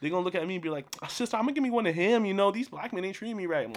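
There is noticeable background noise behind this man. He speaks with an American accent at a high pitch. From California. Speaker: podcast co-host. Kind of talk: casual chat. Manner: fast.

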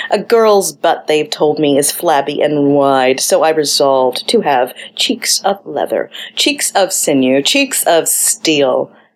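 A woman speaks very slowly in a playful tone, her loudness very even throughout. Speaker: podcast host and poet. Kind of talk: poem reading. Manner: expressive, measured, performative delivery; playful, wry.

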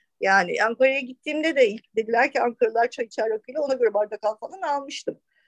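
A woman talks at a very fast pace in a high pitch. The sound is dry and close, with no echo. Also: ordinary pitch variation. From Istanbul, Turkey. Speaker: restaurant owner. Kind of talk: casual chat.

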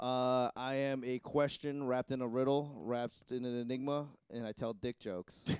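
Here is an ordinary speaking voice from a man at a medium pitch. He keeps a moderate pace with fairly even intonation. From Boston. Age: 30s. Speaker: stand-up comedian. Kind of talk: casual chat. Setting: studio.

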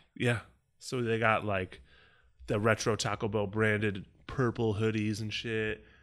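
A man with an American accent, fairly low-pitched and monotone with flat intonation, at a fairly slow pace with long, frequent pauses, in a very clean recording with a silent background. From Chicago. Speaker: podcast co-host. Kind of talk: casual chat.

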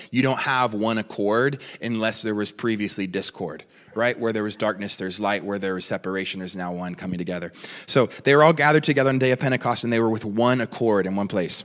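A man with an American accent, fairly low pitch, ordinary pitch variation, an animated tone and a very fast pace. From California, US. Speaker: guest preacher. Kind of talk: sermon. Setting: church with congregation. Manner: repetitive stammering.

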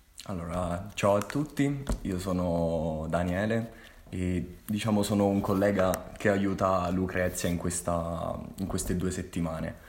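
With a Molise accent, a man of very deep, low pitch speaks at a fairly slow pace with ordinary pitch variation amid audible room echo. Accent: Molise accent (Agnone). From Italy, Molise (Agnone). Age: 20s. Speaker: engineering student. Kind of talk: casual interview chat.

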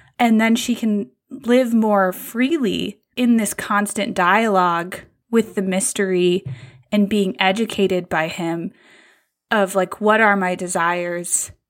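Recorded very cleanly against a silent background, a woman speaks at a very slow pace in a medium pitch with ordinary pitch variation. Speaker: podcast host. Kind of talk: casual chat.

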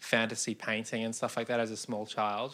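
At a moderate pace, a man with an Australian accent speaks at medium pitch with a bright, sharp tone. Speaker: podcast co-host. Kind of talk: casual conversation.

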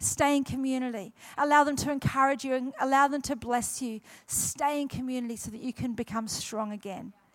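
With a New Zealand accent, a woman speaks at a high pitch and a fairly quick pace. Her intonation stays fairly even. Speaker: guest pastor. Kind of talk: sermon. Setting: church with congregation.

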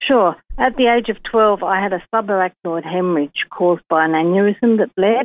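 Using a plain, everyday voice, a woman at medium pitch talks at a moderate pace with ordinary pitch variation and big swings in loudness. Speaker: stroke survivor. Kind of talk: personal testimony. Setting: phone call.

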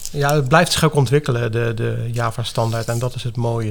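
The speaker has a slight The Hague accent. The pace is moderate. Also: man. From Netherlands, The Hague. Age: 50s. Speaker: software developer. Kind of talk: interview.

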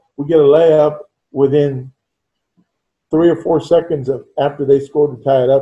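In a fairly high, somewhat breathy voice with a dark, mellow tone, a man talks in a flat monotone at a moderate pace, leaving long, frequent pauses. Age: 60s. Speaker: veteran high school basketball coach. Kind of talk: casual chat. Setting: video call.

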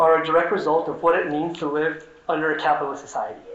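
In an American accent, a high-pitched man talks at a very fast pace over noticeable background noise. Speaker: socialist activist and organizer. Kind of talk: conference talk. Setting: conference stage with audience.

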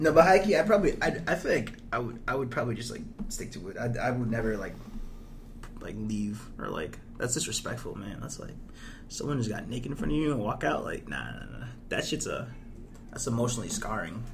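Amid noticeable background noise, a man with an American accent talks at a fairly quick pace with a medium pitch and lively intonation. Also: big swings in loudness. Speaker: podcast co-host, college student. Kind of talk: casual comedic banter. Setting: library. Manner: profane, jokey.

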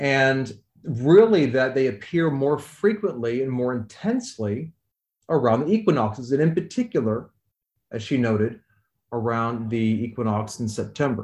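With a Midwestern American accent, this man speaks at a medium pitch and with lively intonation. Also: moderate pace, quiet background. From US Midwest, rural Missouri. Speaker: astrophysicist and author. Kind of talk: interview.

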